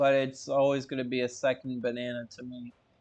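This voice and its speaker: A man with an American accent has a plain, everyday voice. He speaks at a medium pitch and a moderate pace. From Florida. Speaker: streamer. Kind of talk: casual chat.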